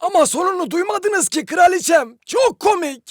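An extremely high-pitched, cartoonish character voice. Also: moderate pace. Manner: obsequious, eager.

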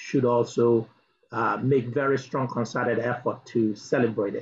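Light background noise sits behind a man whose somewhat breathy voice holds a medium pitch and fairly even intonation. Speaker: diaspora advocacy director; speaker. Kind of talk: speech. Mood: earnest, advocating. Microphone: video call.

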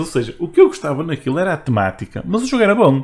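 The speaker is a man with a somewhat breathy voice. He moves along at a fairly quick pace. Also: very clean recording, silent background. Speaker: video game podcast host. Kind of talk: casual chat.

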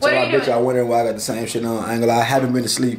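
Noticeable noise sits in the background. Over it, a man talks very fast. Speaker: vlogger. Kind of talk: casual vlog chat. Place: home room. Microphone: phone near.

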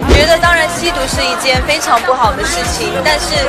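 A woman at a moderate pace over loud background music. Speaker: celebrity at media interview. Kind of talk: interview answer. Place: hall.

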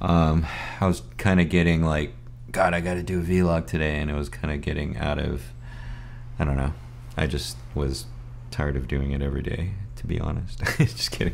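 This man's voice is very deep and low, with ordinary pitch variation. He talks at a fairly quick pace over light background noise. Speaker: vlogger. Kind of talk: casual vlog chat. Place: home room.

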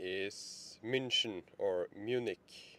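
A man's voice with ordinary pitch variation, dry and with no echo. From Norway. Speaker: EV road trip vlogger; road trip vlogger. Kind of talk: vlog narration. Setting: in a car. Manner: halting. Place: car.

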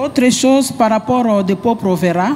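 A woman is talking. There is light background noise. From DR Congo. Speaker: training coordinator, audience member. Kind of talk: audience question. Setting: conference hall with audience. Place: hall. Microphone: handheld.

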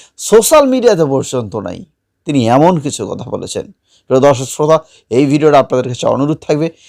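A man with an ordinary speaking voice talks at a fairly high pitch, his intonation lively and his loudness swinging widely. The recording is very clean with a silent background. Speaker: news channel presenter. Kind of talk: news commentary.

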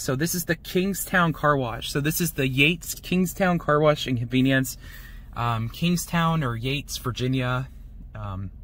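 The sound is dry with no echo. The pace is moderate. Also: man. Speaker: car wash vlogger. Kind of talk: casual vlog commentary. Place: car.

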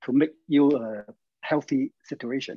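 A man's fairly high voice with a Chinese accent, dark and mellow in tone, fairly slow, ordinary in pitch variation, dry with no echo, over a quiet background. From China. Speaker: health practice coach. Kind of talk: instructional interview. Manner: halting. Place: home room. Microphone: video call.

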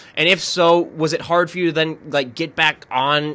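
With an American accent, a man speaks at a fairly high pitch in a bright, sharp tone. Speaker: podcast host. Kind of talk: casual interview.

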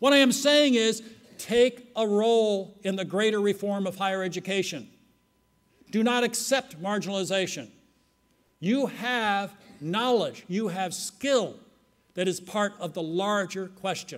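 This man has a high pitch and ordinary pitch variation. He talks at a fairly slow pace with long, frequent pauses. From United States. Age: old. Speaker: conference keynote speaker. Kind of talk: lecture. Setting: stage with audience. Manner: formal. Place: hall. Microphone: podium.

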